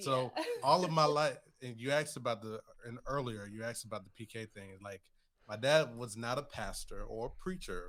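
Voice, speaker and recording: At a fairly quick pace, a man speaks at medium pitch with ordinary pitch variation and big swings in loudness. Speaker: podcast guest.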